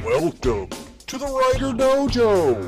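A put-on character voice speaks at a fairly slow pace over clear music in the background. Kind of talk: radio announcer.

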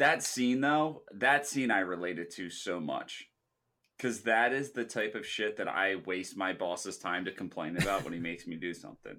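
Bright and sharp in tone, a man with a fairly low pitch speaks with lively intonation in a very clean recording with a silent background. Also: moderate pace. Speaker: podcast co-host. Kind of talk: casual chat.

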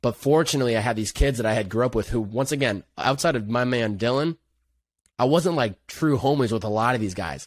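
A man with an American accent, a normal speaking voice, medium pitch, ordinary pitch variation and a fairly quick pace on a very clean recording with a silent background. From Western Massachusetts. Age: 20s. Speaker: content creator. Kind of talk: casual chat.

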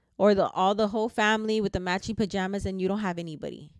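A very fast pace with an American accent, on a very clean recording with a silent background. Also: woman. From US, grew up in the projects. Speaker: podcast host and motivational speaker. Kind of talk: casual motivational monologue. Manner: conversational with frequent fillers.

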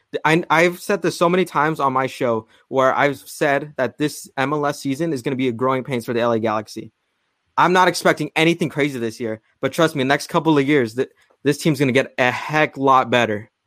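Here a man with a fairly high pitch and an unremarkable speaking voice moves at a fairly quick pace with ordinary pitch variation, in a very clean recording with a silent background. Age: young. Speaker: football fan podcaster. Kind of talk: heated debate.

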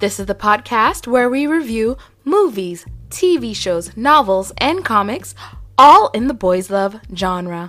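Music plays in the background. Over it, a woman speaks at a fairly slow pace. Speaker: podcast host. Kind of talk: casual chat. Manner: halting.

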